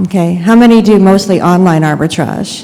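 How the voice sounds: A soft-spoken woman at medium pitch, dark and mellow in tone, with ordinary pitch variation, a moderate pace and audible room echo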